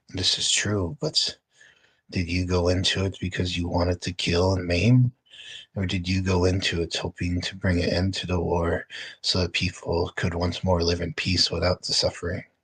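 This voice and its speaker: A raspy put-on character voice speaks at a moderate pace with fairly even intonation, recorded dry and close with no echo. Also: man, very deep, low pitch for a man. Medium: actual play. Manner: calm, measured.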